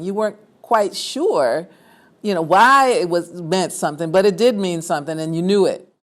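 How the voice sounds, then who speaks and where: This woman has an ordinary speaking voice with an American accent, a fairly low pitch, lively intonation and a moderate pace. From New York City, Harlem. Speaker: former resident. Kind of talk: oral history interview.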